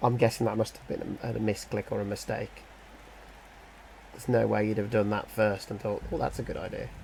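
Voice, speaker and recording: In a British accent, the speaker leaves long, frequent pauses. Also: man. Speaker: gaming youtuber. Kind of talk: game commentary. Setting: home kitchen. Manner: thinking aloud, hesitant; quiet.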